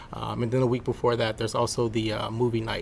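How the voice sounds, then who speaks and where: This man's medium-pitched voice carries vocal fry. His intonation is monotone and flat. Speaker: employee resource group member. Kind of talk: casual interview.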